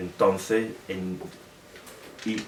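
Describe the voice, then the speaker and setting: A man speaks at a very slow pace with a southern Spanish accent. Noticeable background noise runs behind him. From Britain. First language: English (speaking Spanish). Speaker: historian and author. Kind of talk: Q&A at book presentation. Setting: bookshop event with audience. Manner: halting, many fillers.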